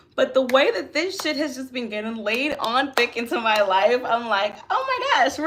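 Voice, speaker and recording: Noticeable background noise accompanies a woman speaking at a high pitch. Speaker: tarot and astrology reader. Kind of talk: live stream chat. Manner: soft-spoken.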